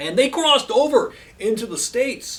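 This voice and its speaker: A man with a Canadian accent talks over noticeable background noise. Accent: very Canadian. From Canada. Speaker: music video host. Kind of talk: casual monologue. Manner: hesitant, repeats words.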